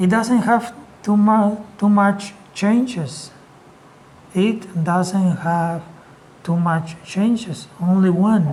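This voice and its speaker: Very slow delivery in a Spanish accent. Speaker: English teacher. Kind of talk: lecture.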